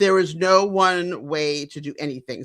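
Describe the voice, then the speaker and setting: Against a silent background in a very clean recording, a woman with a fairly low pitch speaks in an animated tone that is bright and sharp. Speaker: podcast co-host. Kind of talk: casual chat. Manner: loud.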